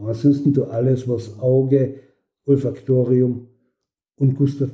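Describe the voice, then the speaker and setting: A man speaks at a fairly slow pace and medium pitch, his voice somewhat breathy. His tone is dark and mellow, with fairly even intonation. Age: 70s. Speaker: occupational therapist. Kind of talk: interview.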